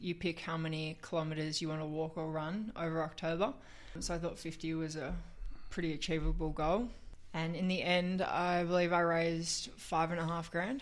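At a moderate pace, a woman speaks with an Australian accent. Her fairly low voice holds a fairly even intonation. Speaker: fundraiser. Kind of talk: casual chat. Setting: radio studio.

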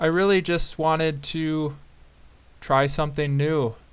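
This speaker talks with a fairly even intonation in an American accent. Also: man. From southern Wisconsin, US Midwest. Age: 20s. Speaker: podcast host, fly fisherman. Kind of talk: solo podcast intro, casual monologue. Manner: casual with frequent fillers (um, uh).

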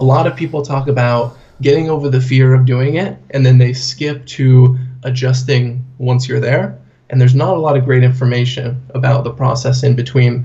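At a moderate pace and medium pitch, a man speaks in a somewhat breathy voice with monotone, flat intonation. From US Pacific Northwest, Portland. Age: 20s. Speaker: corporate trainer and blogger. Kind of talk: interview. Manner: casual.

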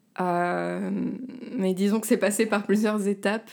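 The tone of this woman's voice is dark and mellow, and her pace is fairly slow. It's a very clean recording with a silent background. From southern France, Var. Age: 30s. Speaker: singer and actress. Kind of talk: casual chat.

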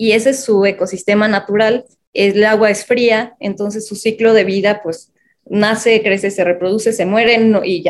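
At a moderate pace, a woman speaks in a fairly high pitch with flat, monotone intonation. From Mexico City. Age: 30s. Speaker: social entrepreneur. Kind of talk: interview. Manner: hesitant, many fillers.

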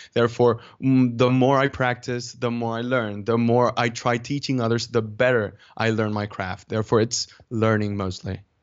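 Spoken with a Dominican accent, the delivery is monotone and flat, with hardly any pauses. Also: man, medium pitch for a man, moderate pace. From Dominican Republic. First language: Spanish. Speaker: public speaker and YouTuber. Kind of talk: casual interview.

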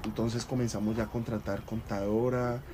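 Fairly even intonation in a man's medium-pitched speech. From Colombia, Cali. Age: 20s. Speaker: restaurant entrepreneur. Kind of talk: interview.

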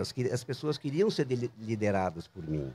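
Vocal fry runs through a man's dark, mellow tone, and his pitch swings very widely. He speaks at a moderate pace. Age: 60s. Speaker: designer and entrepreneur. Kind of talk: casual interview. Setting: outdoors in a public square bandstand.

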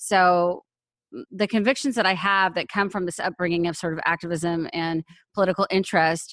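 A woman with an American accent and a normal speaking voice talks at a moderate pace with medium pitch, recorded dry and close with no echo against a quiet background. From Austin, Texas and Europe. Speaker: activist and mother in custody battle. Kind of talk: interview.

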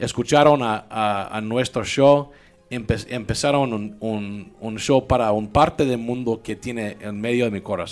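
Over background music, a man with a Mexican accent talks at a fairly slow pace. His pitch is medium and his intonation fairly even. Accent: speaks Spanish like a Mexican. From US South, Louisiana (Baton Rouge). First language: English (speaking Spanish). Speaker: tech entrepreneur and podcast host. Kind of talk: casual interview chat. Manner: halting, many repetitions and code-switching.

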